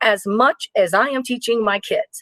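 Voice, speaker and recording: A woman speaks in a high voice with an animated tone and lively intonation, recorded dry and close with no echo. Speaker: kindergarten teacher. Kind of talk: informal teaching advice video.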